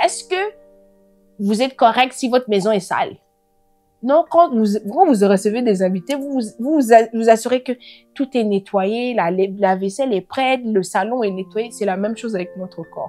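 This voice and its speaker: The voice has a dark, mellow tone and a non-native accent. It moves at a fairly slow pace with lively intonation. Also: woman, fairly high pitch for a woman, big swings in loudness. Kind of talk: religious teaching talk. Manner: halting, many hesitations.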